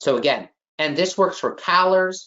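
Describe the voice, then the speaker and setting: This man has a strong Chicago accent. He talks at a fairly slow pace. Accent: heavy Chicago. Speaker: exam prep instructor. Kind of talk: online class lecture. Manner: emphatic, repetitive.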